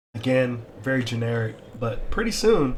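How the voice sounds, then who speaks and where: Audible room echo surrounds a man speaking at medium pitch, somewhat breathy. His pace is very slow. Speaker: crypto and metaverse YouTuber. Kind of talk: casual gameplay walkthrough. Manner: hesitant, many fillers.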